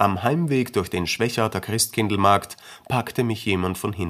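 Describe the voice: Someone reads aloud plainly, with pitch that shifts by a normal amount.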